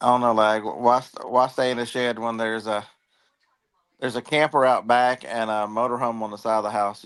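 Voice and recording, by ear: A man's medium-pitched voice, fairly bright and with a clear, smooth tone, fairly even intonation and a moderate pace.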